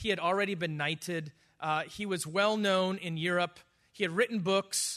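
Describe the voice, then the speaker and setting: With an American accent, a man speaks at a moderate pace in a high pitch and a bright, sharp tone. His intonation stays fairly even over a quiet background. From US Midwest, Wisconsin. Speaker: missionary. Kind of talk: interview.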